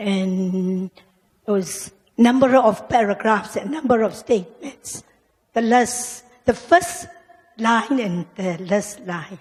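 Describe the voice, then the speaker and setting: A woman talks at a very slow pace. Her fairly high voice has lively intonation. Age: 60s. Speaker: student. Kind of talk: question from audience. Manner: halting.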